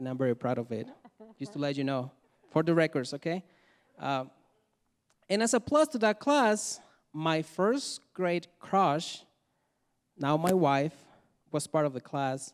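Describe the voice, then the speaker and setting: On a very clean recording with a silent background and a dry, close sound with no echo, a man with a Mexican accent speaks at a fairly slow pace in a fairly high voice, with lively intonation and long, frequent pauses. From Mexico. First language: Spanish. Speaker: storyteller. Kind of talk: testimony. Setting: stage with audience.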